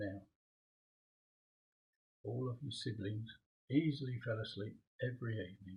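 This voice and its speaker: A man speaks at a medium pitch in a soothing tone. His voice is somewhat breathy. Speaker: grandfather reading bedtime story to granddaughter. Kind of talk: sleep story. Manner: slow, soothing.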